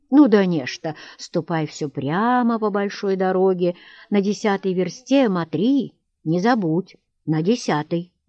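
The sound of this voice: Heard against a quiet background is an unforced reading voice.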